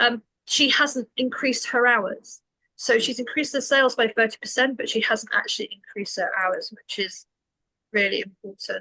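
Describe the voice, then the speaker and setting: Recorded with a dry, close sound and no echo, a woman with a British accent speaks at a moderate pace. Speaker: business coach. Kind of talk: webinar presentation.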